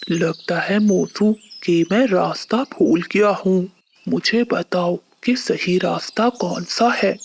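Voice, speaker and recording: A cartoonish character voice that sounds female speaks fairly slowly at a medium pitch in a gentle tone. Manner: gentle, earnest.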